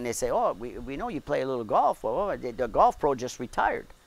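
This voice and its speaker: A man speaks in a Quebec French accent. His pace is fairly quick. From Quebec, Montreal. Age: 70s. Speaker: golf director. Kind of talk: casual interview.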